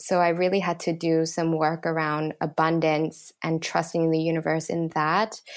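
In a very clean recording with a silent background, a woman with a fairly low voice speaks at a moderate pace in a flat monotone. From Thailand, Bangkok. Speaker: yoga teacher and manifestation program member. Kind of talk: interview testimony.

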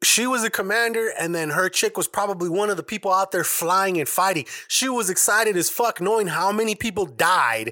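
A raised, projected voice with a bright, sharp tone moves at a fairly quick pace with hardly any pauses and ordinary pitch variation. The sound is dry and close, with no echo. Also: man, high pitch for a man, very clean recording, silent background. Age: 30s. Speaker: podcast host and editor. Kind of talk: casual chat.

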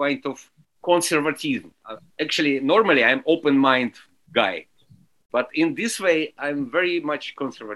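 This man talks in a Russian accent with a fairly high pitch and a bright, sharp tone. His pace is fairly slow and his pitch variation ordinary. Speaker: alphorn and French horn musician. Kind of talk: interview.

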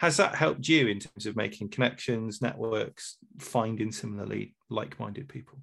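A man with a medium-pitched voice, lively intonation and vocal fry speaks with big swings in loudness. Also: moderate pace. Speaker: podcast host. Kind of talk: casual interview.

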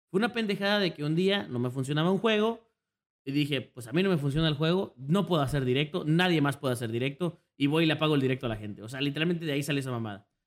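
A man at a very fast pace, fairly high in pitch, with lively intonation. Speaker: streamer. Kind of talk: casual chat. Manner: loud.

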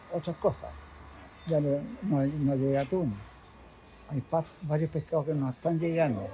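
A man's fairly high voice at a fairly slow pace, with long, frequent pauses and music in the background. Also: ordinary pitch variation. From Chile, Valparaíso (Playa Ancha). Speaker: fishmonger. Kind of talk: casual interview. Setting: market stall at workplace.

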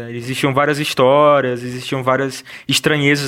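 A man talks in a monotone with flat intonation. His pitch is medium and his pace fairly slow. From Ceará, Brazil (Russas). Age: 30s. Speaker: film director. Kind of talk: interview. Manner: halting, many fillers.

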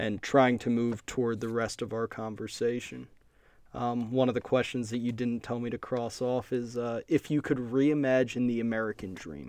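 Against a quiet background, a man speaks in a plain, everyday voice at medium pitch. His intonation is fairly even and his pace moderate. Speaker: podcast host. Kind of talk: interview conversation.

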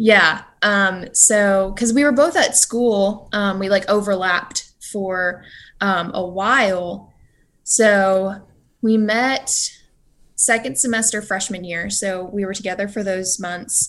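With an American accent, a woman talks at a very slow pace over a quiet background, her medium pitch carrying ordinary variation. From California. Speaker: college student. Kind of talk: casual chat.

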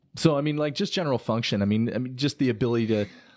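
A man with an unremarkable speaking voice at a fairly quick pace, ordinary pitch variation, on a very clean, silent recording with a dry, close sound and no echo. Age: 30s. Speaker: chiropractor. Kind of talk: casual interview chat.

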